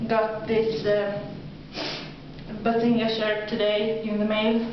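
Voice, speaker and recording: Against noticeable background noise and audible room echo, a woman with a Swedish accent speaks in a monotone, flat intonation. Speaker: video blogger. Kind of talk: casual vlog monologue. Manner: halting.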